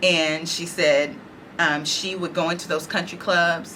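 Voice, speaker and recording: A woman with an American accent, fairly low pitch and monotone, flat intonation, amid audible room echo. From Dallas, Texas (Oak Cliff). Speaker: oral history interviewee. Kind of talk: oral history interview.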